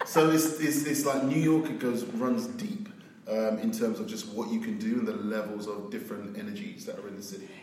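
A man in a London accent, fairly high-pitched, at a fairly quick pace, with very wide pitch swings, big swings in loudness, and noticeable background noise. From South London, England. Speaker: agency CEO. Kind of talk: casual interview chat.

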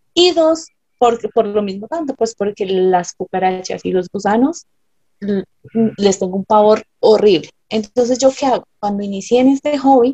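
Lively intonation marks this woman's fairly high-pitched voice. She speaks at a moderate pace. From Colombia. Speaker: ant keeper. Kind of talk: interview.

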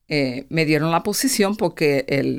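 This woman's voice has a very deep, low pitch. The recording is very clean, with a silent background. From Puerto Rico, raised in Pennsylvania from age seven. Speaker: nonprofit finance executive. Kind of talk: interview testimony. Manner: halting, with repetitions.

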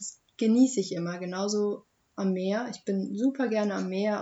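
Somewhat breathy, a woman's voice holds a medium pitch. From Germany, Hochheim am Main (Hesse). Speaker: young local podcast guest. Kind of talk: casual chat.

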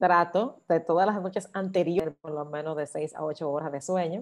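A plain, everyday voice with fairly even intonation and a moderate pace over a quiet background. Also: woman. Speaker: singing teacher and choir director. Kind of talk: interview.

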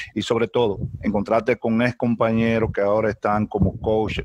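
A man speaks at a fairly low pitch and moderate pace with monotone, flat intonation. The sound is dry and close with no echo, with noticeable background noise. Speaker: baseball player. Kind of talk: press conference.

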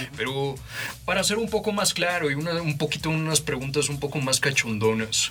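Against noticeable background noise, a man talks at a moderate pace in a fairly high pitch with lively intonation. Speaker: guest interviewer. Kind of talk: interview. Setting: studio. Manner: formal.

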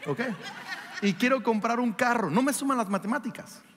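Against noticeable background noise, a man with a high pitch talks at a moderate pace in an animated tone. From Mexico. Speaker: pastor. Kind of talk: sermon. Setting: church with congregation.

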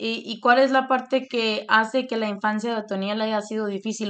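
Against a quiet background, a woman with an ordinary speaking voice talks at a moderate pace, her fairly high pitch held to fairly even intonation. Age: 20s. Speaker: podcast host. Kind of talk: casual interview with grandfather. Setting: call with grandfather.

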